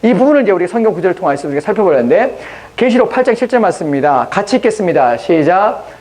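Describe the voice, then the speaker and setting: Over noticeable background noise, a man with a high pitch talks very fast with very wide pitch swings. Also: very even loudness. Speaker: pastor. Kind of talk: sermon.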